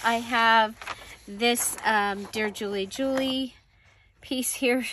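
A woman with a high pitch and a bright, sharp tone speaks with ordinary pitch variation. The sound is dry with no echo, with light background noise. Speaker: crafting channel host. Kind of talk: casual crafting tutorial chat. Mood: relaxed, amused.

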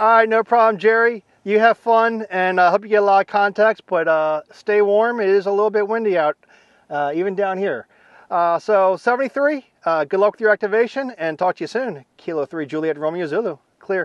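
This man's voice is high-pitched, with ordinary pitch variation and a moderate pace. The sound is dry with no echo, over a quiet background. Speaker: amateur radio operator. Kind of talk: radio contact exchange. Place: open country. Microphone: lapel.

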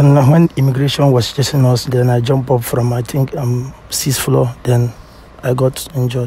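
Speaking with a Nigerian accent, a man delivers his words at a moderate pace in a medium-pitched, monotone, flat voice, with light background noise and a dry sound with no echo. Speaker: blind date participant. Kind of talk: casual conversation. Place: street.

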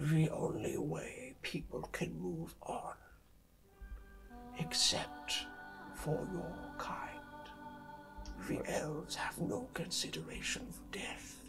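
Clear music plays behind a man using a raspy, put-on character voice. He talks at a very slow pace with long, frequent pauses. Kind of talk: game master voicing villain NPC. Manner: cold, formal, unsettling; brooding, regretful.

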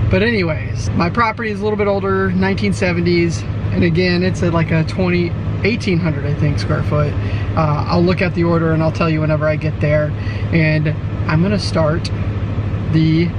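A man speaks at a moderate pace with noticeable background noise. The sound is dry, with no echo. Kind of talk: casual vlog chat. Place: car.

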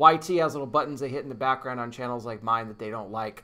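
A bright, sharp tone comes through as the man speaks. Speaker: news commentary channel host. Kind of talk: casual vlog chat. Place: home room. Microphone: webcam.

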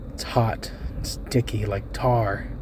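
Noticeable background noise runs through the clip. The man speaking goes at a very slow pace. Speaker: amateur story reader. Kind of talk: reading aloud.

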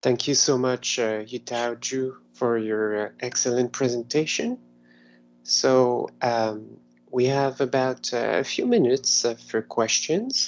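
The pace is fairly slow, with fairly even intonation. It is an ordinary speaking voice. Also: man, medium pitch for a man. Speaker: meetup host and NLP programmer. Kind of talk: event moderation. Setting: video call. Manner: polite, formal.

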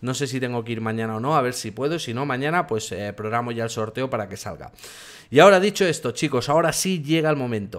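Talking at a very fast pace, a man uses lively intonation at a medium pitch. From Catalonia, Spain. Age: 40s. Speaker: tech youtuber. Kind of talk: live stream Q&A. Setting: home office by a street window. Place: home room.

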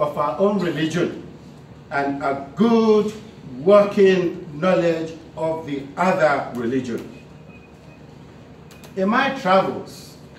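Speaking at a very slow pace, a man is heard with audible room echo. Light background noise sits behind him. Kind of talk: formal speech reading. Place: hall. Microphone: podium.

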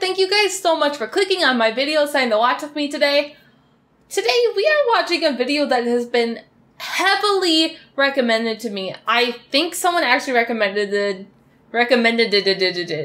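This woman's voice is high and swings very widely in pitch. She talks at a fairly quick pace. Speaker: reaction video creator. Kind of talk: casual vlog chat. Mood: emotional, wistful, sad. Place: home room.

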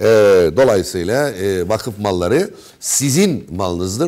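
The man speaks at a very slow pace. The background is quiet. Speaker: radio host. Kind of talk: interview. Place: studio.

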